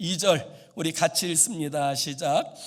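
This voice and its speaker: This man's voice sits high in pitch. He talks at a fairly slow pace with ordinary pitch variation. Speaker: pastor. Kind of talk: sermon. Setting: church.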